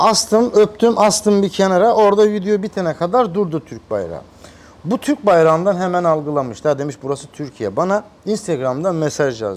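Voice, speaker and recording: Moving at a moderate pace, a man speaks in a high pitch with lively intonation. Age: 30s. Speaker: massage youtuber. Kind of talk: interview.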